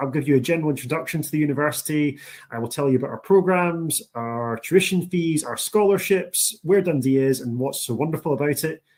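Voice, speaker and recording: Speaking very fast with a strong Scottish accent, a man uses a fairly high pitch and ordinary pitch variation. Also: hardly any pauses. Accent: thick Scottish. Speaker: university international recruitment officer. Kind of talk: presentation. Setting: online session. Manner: enthusiastic.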